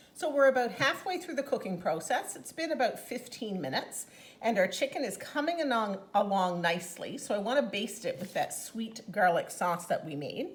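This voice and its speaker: Enthusiastic and fairly high-pitched, a woman speaks at a moderate pace with hardly any pauses, very wide pitch swings and big swings in loudness. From Newfoundland, Canada. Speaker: home cooking demonstrator and product consultant; home cooking demonstrator. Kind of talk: cooking tutorial. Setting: home kitchen. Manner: chatty, enthusiastic. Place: kitchen.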